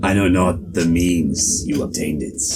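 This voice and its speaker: Using a put-on character voice, a man speaks at a very deep, low pitch. His pace is moderate, with clear background noise behind him. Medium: actual play. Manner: gruff, threatening.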